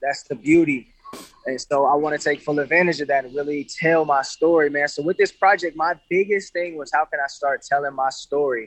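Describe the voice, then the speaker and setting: Fairly high in pitch, a man speaks in an unremarkable speaking voice with an American accent. He keeps a fairly quick pace and fairly even intonation. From Grand Rapids, Michigan, US Midwest. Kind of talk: casual interview.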